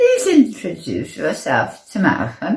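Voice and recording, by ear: A woman speaks slowly in a put-on character voice, with vocal fry and a slightly mellow tone. Her pitch swings very widely.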